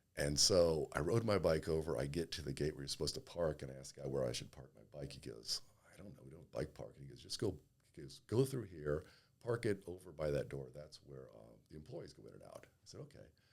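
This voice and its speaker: A man talks very fast in a very deep, low voice with vocal fry. His intonation is lively and his loudness swings widely. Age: 60s. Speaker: gym member, fitness enthusiast. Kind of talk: casual chat. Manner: halting.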